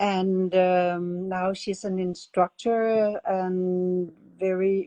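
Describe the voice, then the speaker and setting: A woman speaks in a Danish accent at a medium pitch. Her tone is dark and mellow. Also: dry, close sound with no echo. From Denmark. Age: 70s. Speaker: art method instructor. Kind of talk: interview. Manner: halting.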